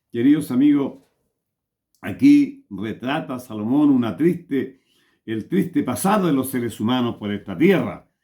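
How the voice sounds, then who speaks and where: Speaking at a fairly slow pace, a man with a dark, mellow tone and a fairly high pitch swings very widely up and down. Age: 70s. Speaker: lay preacher. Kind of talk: sermon. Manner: stutters at times.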